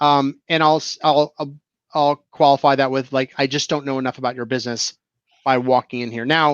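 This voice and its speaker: A man with an American accent and a fairly high pitch speaks at a fairly quick pace in a monotone, flat way. The sound is dry and close with no echo, and the background is quiet. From New Jersey and Florida. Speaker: IT business owner. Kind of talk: casual chat.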